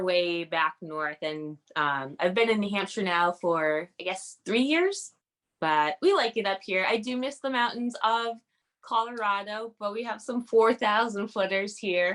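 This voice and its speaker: An unremarkable speaking voice from a woman at a medium pitch, fairly slow in pace, with ordinary pitch variation and a quiet background. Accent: American. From Massachusetts. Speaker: ultrarunner. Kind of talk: interview.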